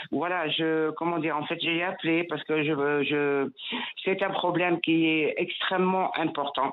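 A woman's fairly low voice, fairly slow, with very even loudness and fairly even intonation against noticeable background noise. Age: 60s. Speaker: radio caller, retiree. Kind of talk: testimony. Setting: phone call. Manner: emotional, repetitive.

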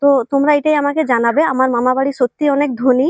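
Monotone, flat intonation with a dry, close sound and no echo. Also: woman. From West Bengal, India (Bankura district). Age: 20s. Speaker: vlogger. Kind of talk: personal monologue to camera. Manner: halting.

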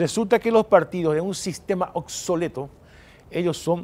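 A man with a high voice speaks with lively intonation. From Paraguay. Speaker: senator. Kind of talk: political panel discussion. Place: studio. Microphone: lapel.

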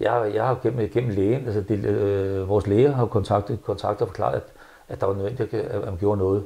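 Somewhat breathy, a man talks at a moderate pace with fairly even intonation and a dark, mellow tone. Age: 70s. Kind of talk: interview. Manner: halting, many repetitions. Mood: frustrated, earnest. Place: home room. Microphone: lapel.

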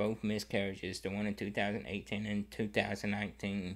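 The man's fairly low pitch stays in a monotone, flat intonation as he speaks at a fairly slow pace. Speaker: vlogger. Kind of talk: personal story to camera. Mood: somber, emotional. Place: home room. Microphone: studio mic.

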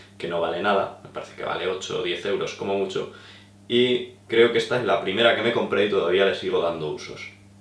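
The room echo is audible. The pace is very fast. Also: man. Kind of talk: tutorial. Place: home room.

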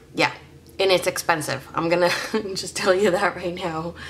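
The woman's voice sits at a fairly low pitch. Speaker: hobby vlogger. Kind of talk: casual vlog chat. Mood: chatty, self-deprecating.

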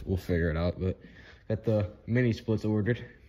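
A man's rather quick speech comes out with a somewhat breathy quality. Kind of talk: casual vlog chat. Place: hall. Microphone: phone near.

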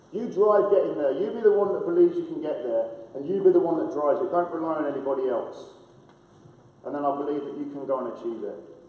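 Audible room echo behind a man's very fast speech. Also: big swings in loudness. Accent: American. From Lincolnshire, England (Boston). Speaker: former professional footballer, coach. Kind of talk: prize-giving speech. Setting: school hall with audience, microphones. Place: hall. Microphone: camera far.

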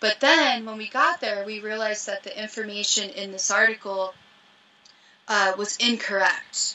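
A woman with an American accent talks at a moderate pace and a fairly high pitch. Her pitch varies in an ordinary way, while her loudness swings widely. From US Midwest (Ohio, farm). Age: 30s. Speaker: professional mountaineer. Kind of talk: casual chat. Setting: video call from her van. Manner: animated. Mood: relaxed, casual. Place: home room. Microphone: video call.

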